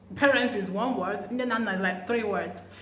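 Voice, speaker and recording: Over noticeable background noise, a woman speaks at a fairly slow pace with a fairly high pitch. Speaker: language teacher vlogger. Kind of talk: language lesson.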